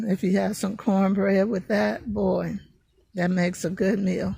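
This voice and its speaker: A woman speaks at a medium pitch with ordinary pitch variation and vocal fry. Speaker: home gardener and video creator. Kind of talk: casual tutorial. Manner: hesitant, many fillers.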